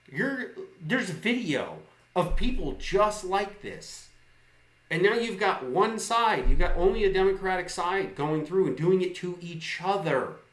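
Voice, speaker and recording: The tone is animated, with ordinary pitch variation. Room echo is audible. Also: man. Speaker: live streamer. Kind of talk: political rant. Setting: live stream. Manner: loud.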